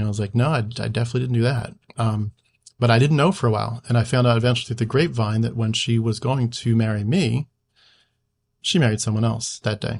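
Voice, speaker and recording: A somewhat breathy man's voice at medium pitch with an American accent, very fast in pace and fairly even in intonation, over a quiet background. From US Northeast (Philadelphia area). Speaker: YouTuber, former missionary trainee. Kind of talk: casual interview chat.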